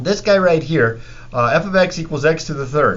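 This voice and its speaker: A man's fairly high voice with audible room echo. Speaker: math teacher. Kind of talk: lecture.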